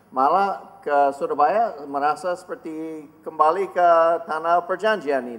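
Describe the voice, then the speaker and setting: Speaking fairly slowly with an English accent, a man at a fairly high pitch shows ordinary pitch variation and big swings in loudness. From United States. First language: English (speaking Indonesian). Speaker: ministry leader and marriage seminar speaker. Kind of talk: seminar talk.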